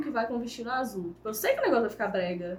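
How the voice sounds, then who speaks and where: Noticeable background noise sits under a woman speaking very fast. Her voice is high-pitched with ordinary pitch variation. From Brazil, Viçosa (Minas Gerais). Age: 20s. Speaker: makeup artist and small business owner. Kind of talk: casual interview.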